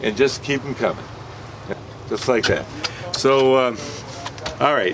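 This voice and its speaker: A man at a fairly slow pace, fairly even in intonation, over noticeable background noise. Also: medium pitch for a man. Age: 70s. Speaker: fishing charter captain. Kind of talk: safety briefing and instruction to clients. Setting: on a boat offshore.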